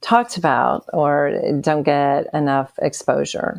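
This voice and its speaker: Speaking in an Appalachian accent, a woman has a very deep, low pitch. Her pace is very slow. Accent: Southern US (Appalachian). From US South, Bristol on the Virginia-Tennessee line. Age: 60s. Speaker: author and podcast co-host. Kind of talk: interview testimony.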